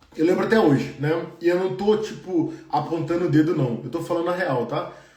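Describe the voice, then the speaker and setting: Audible room echo surrounds a man speaking at a fairly quick pace in a high pitch with ordinary pitch variation. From Brazil. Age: 30s. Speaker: engineer and career coach. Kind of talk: live stream Q&A. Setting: live stream. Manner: casual, conversational.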